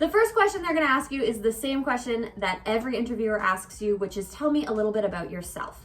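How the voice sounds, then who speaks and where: Over noticeable background noise, a woman speaks fairly quickly at a fairly high pitch with lively intonation. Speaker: English teacher and vlogger. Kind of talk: vlog tutorial. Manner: fast.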